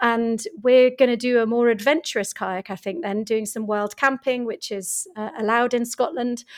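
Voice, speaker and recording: Speaking at a moderate pace, a woman with a fairly high pitch talks with a British accent. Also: ordinary pitch variation, hardly any pauses. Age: 40s. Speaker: author and business coach. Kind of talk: interview. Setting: home studio, remote recording.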